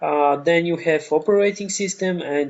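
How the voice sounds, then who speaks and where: This man speaks with a Bulgarian accent. His pitch is fairly high. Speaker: online course instructor. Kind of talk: tutorial. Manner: halting, many fillers.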